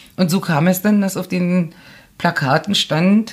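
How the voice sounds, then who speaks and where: A woman's voice with vocal fry. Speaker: journalist and author. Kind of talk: casual interview chat.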